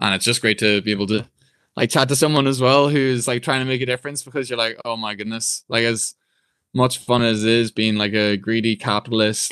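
A man with a Northern Irish accent talks at a fairly quick pace with fairly even intonation, in a dry, close sound with no echo and a quiet background. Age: 20s. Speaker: personal trainer. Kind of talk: interview.

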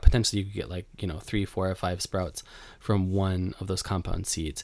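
On a very clean recording with a silent background, a man with a Western New York accent speaks at a fairly quick pace. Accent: Western New York American. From US, Buffalo, New York. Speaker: podcast host, home gardener. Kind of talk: casual solo podcast talk. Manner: conversational, many fillers and restarts.

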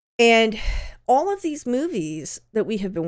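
A woman speaks with an American accent. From Southern California. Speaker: podcast host and content creator. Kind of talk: solo Q&A monologue. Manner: casual, with fillers.

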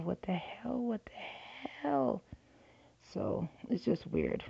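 A woman's voice with vocal fry. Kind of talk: casual monologue. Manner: halting, repetitive.

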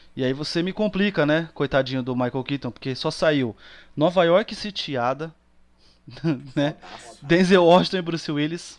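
Delivered at a moderate pace, an unremarkable speaking voice shows ordinary pitch variation and big swings in loudness. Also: man, fairly high pitch for a man. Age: 30s. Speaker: podcast guest. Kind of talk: casual chat.

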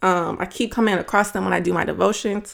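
With an animated tone and a moderate pace, a woman talks over a silent background in a very clean recording. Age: 20s. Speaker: podcast host. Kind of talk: casual faith talk.

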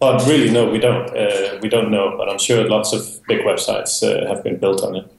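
A man talks at a fairly quick pace with hardly any pauses. There is noticeable background noise. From Denmark. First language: Danish. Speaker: software developer and business owner. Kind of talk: interview.

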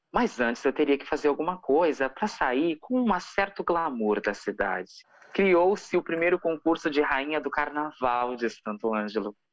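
A woman with a Rio Grande do Sul accent speaks at a moderate pace in a very deep, low pitch. Her tone is animated, with very wide pitch swings. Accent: gaúcho (Rio Grande do Sul). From southern Brazil, rural Rio Grande do Sul. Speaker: singer and actress. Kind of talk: casual interview.

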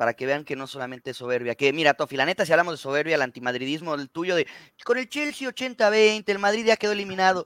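A man's fairly high voice with a Mexican accent, at a very fast pace with very wide pitch swings, the sound dry and close with no echo. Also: very clean recording, silent background. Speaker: football podcast co-host. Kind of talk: casual chat.

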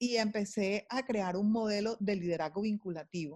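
A woman's animated, medium-pitched voice against a quiet background. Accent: Caribbean Colombian. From Colombian Caribbean coast, Barranquilla. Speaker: sales executive and author. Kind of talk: interview.

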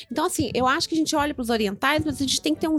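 The woman's voice is high in pitch. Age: 40s. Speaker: podcast co-host. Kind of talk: casual chat.

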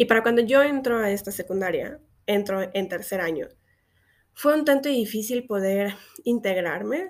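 Her pitch varies in an ordinary way as the woman speaks fairly slowly. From Mexico, Xalapa, Veracruz. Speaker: podcast host, LGBT activist. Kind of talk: personal monologue podcast. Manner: casual, filler-heavy speech.

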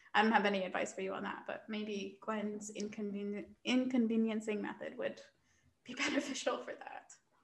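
A woman's fairly high, somewhat breathy voice at a moderate pace, fairly even in intonation but with big swings in loudness. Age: 20s. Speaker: podcast co-host. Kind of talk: casual chat.

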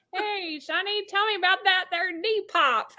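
Putting on a character voice, a woman talks at an extremely high pitch with ordinary pitch variation and a moderate pace. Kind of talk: folksy.

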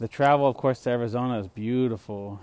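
A man with an American accent speaks at medium pitch in a dark, mellow tone. His pace is fairly quick and his pitch varies in an ordinary way. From Texas, Del Rio. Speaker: podcast host. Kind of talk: casual chat. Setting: outdoors at home. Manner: animated.

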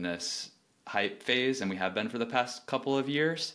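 A man talks at a moderate pace in an unremarkable speaking voice with ordinary pitch variation. The recording is very clean, with a silent background. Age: 30s. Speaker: newsletter founder. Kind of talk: casual interview chat.

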